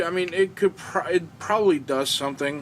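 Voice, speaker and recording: A man mumbling, with ordinary pitch variation. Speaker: amateur radio YouTuber. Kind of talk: tutorial. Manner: hesitant, many fillers.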